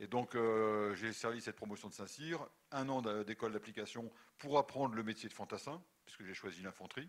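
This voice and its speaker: This man's voice sits at a medium pitch with ordinary pitch variation, moving at a fairly quick pace with big swings in loudness. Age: 60s. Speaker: retired army general. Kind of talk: lecture. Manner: halting.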